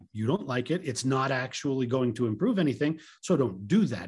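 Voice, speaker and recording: Speaking at a fairly quick pace, a man with a medium pitch and lively intonation sounds somewhat breathy on a very clean recording with a silent background. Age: 50s. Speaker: tech podcast co-host. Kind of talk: casual chat.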